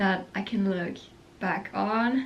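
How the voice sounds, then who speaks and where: A woman speaks very slowly with a non-native accent and fairly even intonation. Audible room echo surrounds her voice. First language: not English. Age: young. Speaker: vlogger. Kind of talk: casual chat. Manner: casual, rambling with fillers.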